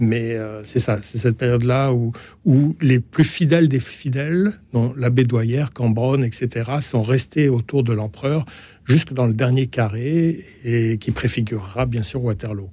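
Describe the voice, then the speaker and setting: A man talks fairly slowly, his voice somewhat breathy with a dark, mellow tone. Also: medium pitch for a man, ordinary pitch variation. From France, Hautes-Alpes. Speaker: novelist and former editor. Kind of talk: radio discussion.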